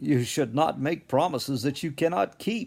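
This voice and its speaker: Putting on a gruff character voice, a man talks at a moderate pace with a fairly high pitch. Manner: amused, contemptuous.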